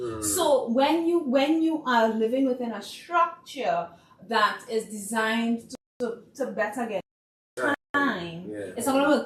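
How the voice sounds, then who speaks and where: In a plain, everyday voice, a woman speaks at a fairly slow pace and fairly high pitch, with lively intonation and big swings in loudness. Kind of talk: podcast discussion.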